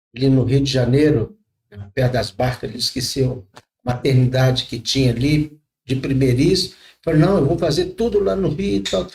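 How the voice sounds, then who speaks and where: Somewhat breathy, a man speaks at a moderate pace in a medium pitch with lively intonation. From rural Brazil. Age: 60s. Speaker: pastor. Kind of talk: podcast interview, testimony.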